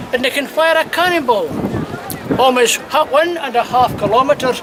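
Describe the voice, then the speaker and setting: A man in a Scottish accent, fairly slow pace and ordinary pitch variation, with noticeable background noise. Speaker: castle guide. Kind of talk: guided tour talk. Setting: outdoors.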